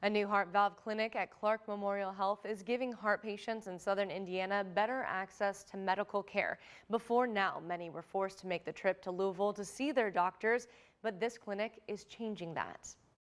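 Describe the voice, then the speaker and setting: Keeping a moderate pace and fairly even intonation, a woman talks in a normal speaking voice. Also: medium pitch for a woman. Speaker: TV news anchor. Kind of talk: TV news anchor read. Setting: studio.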